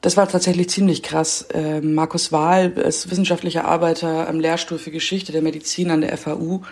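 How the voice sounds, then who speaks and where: A woman talks at a moderate pace in a fairly low pitch. Her intonation is monotone and flat, with noticeable background noise behind her. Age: 20s. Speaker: reporter. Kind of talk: casual interview.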